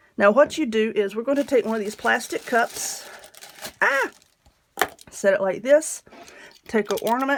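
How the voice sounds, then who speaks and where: With a Southern US accent and fairly high pitch, a woman speaks at a moderate pace with ordinary pitch variation and long, frequent pauses. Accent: Southern American. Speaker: craft tutorial host. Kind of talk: craft tutorial talk to camera.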